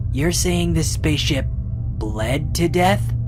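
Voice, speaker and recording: Against loud background noise, a man does a put-on character voice at a fairly slow pace. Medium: fan dub. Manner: quiet, anxious.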